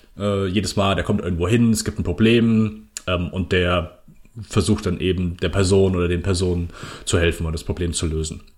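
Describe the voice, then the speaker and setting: Somewhat breathy and very deep, a man's voice moves at a moderate pace with ordinary pitch variation. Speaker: podcast host. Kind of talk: casual chat.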